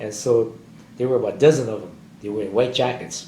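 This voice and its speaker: Audible room echo surrounds a man talking at a fairly quick pace, with a medium pitch and ordinary pitch variation. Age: 80s+. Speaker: war veteran. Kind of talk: oral history interview. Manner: halting.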